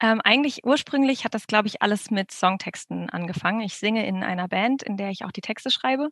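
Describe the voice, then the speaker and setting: A woman speaks at a very fast pace with hardly any pauses. Her pitch is fairly high, with ordinary variation. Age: 30s. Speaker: debut novelist. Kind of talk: interview.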